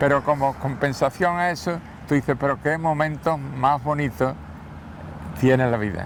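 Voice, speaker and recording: Fairly even intonation broken by long, frequent pauses, against noticeable background noise. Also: man, fairly high pitch for a man, moderate pace. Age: 80s+. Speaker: former mayor and journalist. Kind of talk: interview. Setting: outdoors, walking through the city.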